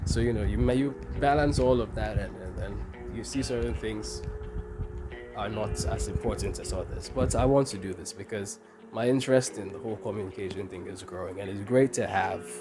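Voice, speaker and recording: Fairly low-pitched and at a fairly quick pace, a man speaks with very wide pitch swings and big swings in loudness, with music in the background and audible room echo. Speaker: podcaster and university student. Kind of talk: solo podcast monologue. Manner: fast; casual.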